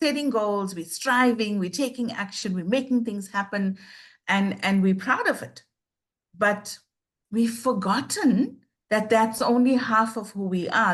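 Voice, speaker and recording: The speech comes at a fairly slow pace, somewhat breathy, with fairly even intonation. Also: woman. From South Africa. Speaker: life coach. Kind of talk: interview.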